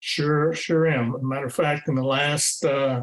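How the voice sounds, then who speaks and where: A man with a Texan accent speaks at a fairly high pitch. His intonation is monotone and flat. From Texas Hill Country. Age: 60s. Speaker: retired teacher and coach. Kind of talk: interview. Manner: hesitant, many fillers.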